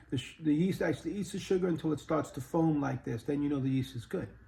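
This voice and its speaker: A man's somewhat breathy, fairly high voice with a dark, mellow tone. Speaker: home cooking YouTuber. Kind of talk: cooking tutorial. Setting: home kitchen. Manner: casual, hesitant with many fillers.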